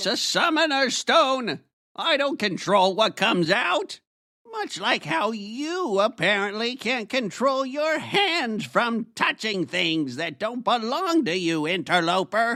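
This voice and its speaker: Using a put-on character voice, a man speaks at a fairly slow pace and a high pitch. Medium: audio drama.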